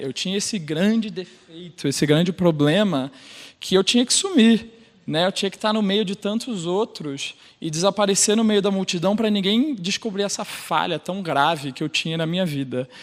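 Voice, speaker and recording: Speaking with a Rio de Janeiro accent, the man has a high-pitched voice. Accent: carioca. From Brazil, Rio de Janeiro. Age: 30s. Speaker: sales operations manager and LGBT group leader. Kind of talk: personal talk on stage.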